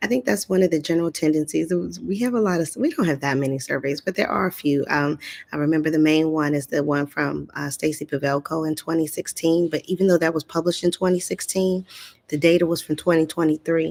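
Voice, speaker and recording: A woman speaks quietly at a very fast pace. Her pitch is very deep and low, with ordinary variation. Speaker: speech-language pathologist. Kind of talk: live stream talk. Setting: live session in a community area. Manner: low voice, kept quiet; hesitant, many fillers.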